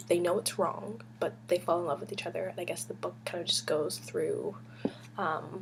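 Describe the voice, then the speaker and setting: A woman's fairly low voice with very wide pitch swings, over noticeable background noise. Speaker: book vlogger. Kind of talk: casual chat. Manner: whispering; hesitant, many fillers.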